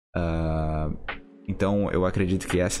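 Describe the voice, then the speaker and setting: A man's very deep, low voice, with audible room echo and music in the background. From rural Brazil. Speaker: podcast host. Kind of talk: solo podcast monologue. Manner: casual, hesitant with repetitions.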